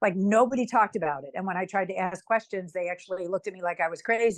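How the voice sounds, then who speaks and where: Against a quiet background, a woman talks at a very fast pace in a medium pitch with ordinary pitch variation, the sound dry and close with no echo. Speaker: author and writing professor. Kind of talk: interview.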